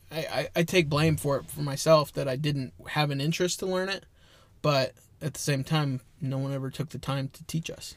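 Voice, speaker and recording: Somewhat breathy and fairly high-pitched, a man speaks with fairly even intonation but big swings in loudness. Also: moderate pace. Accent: American. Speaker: podcast co-host. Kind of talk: casual chat.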